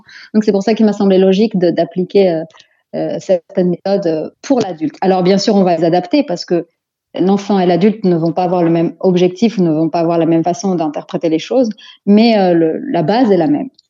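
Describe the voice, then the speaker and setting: This woman has a normal speaking voice at a medium pitch. She talks at a fairly quick pace with ordinary pitch variation. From Belgium, Antwerp, of Moroccan descent. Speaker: psychopedagogue, life coach. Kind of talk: interview.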